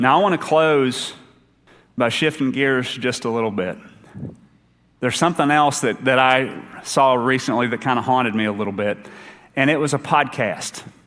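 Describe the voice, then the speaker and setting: A man speaks at a moderate pace in an Appalachian accent, with ordinary pitch variation. Long, frequent pauses break up his speech. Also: medium pitch for a man. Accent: Appalachian Kentucky. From Eastern Kentucky. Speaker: associate minister. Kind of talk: sermon. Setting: church.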